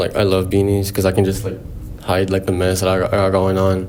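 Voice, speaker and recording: A man with a Spanish accent and a very deep, low pitch speaks at a very fast pace with very even loudness, amid noticeable background noise and audible room echo. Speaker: podcast host. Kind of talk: casual chat.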